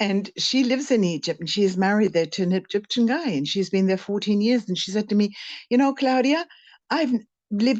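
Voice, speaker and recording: A woman's medium-pitched voice against a quiet background. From Canada. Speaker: spiritual teacher. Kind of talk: casual interview conversation. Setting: in France, conversation with interviewer.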